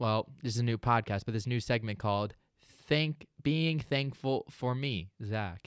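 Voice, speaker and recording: On a very clean recording with a silent background and a dry, close sound with no echo, a man with an unremarkable speaking voice talks at a medium pitch with lively intonation. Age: 20s. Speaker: podcast host. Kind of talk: casual chat.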